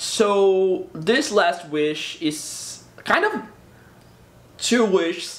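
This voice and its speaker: Over noticeable background noise, a man with a Portuguese accent speaks at a very slow pace in a high pitch, with lively intonation and long, frequent pauses. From Brazil. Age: 20s. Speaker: YouTuber. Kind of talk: casual vlog talk to camera. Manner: halting, repeats words.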